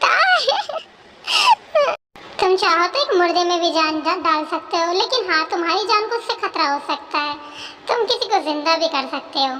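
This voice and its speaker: A woman does a put-on character voice at an extremely high pitch. She leaves long, frequent pauses. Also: moderate pace. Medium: read story.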